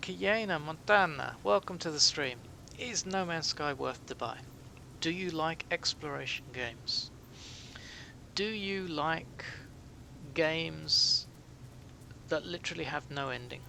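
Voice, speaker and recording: Fairly slow and broken by long, frequent pauses, a man speaks with a British accent and lively intonation. His voice is fairly high, with a bright, sharp tone. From Britain. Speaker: gaming streamer. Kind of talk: live game stream commentary. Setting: live stream. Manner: soothing and calming; relaxed, chatty.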